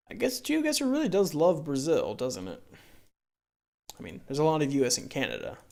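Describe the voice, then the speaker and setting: A fairly quick pace broken by long, frequent pauses. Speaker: gaming YouTuber. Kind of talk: gameplay commentary.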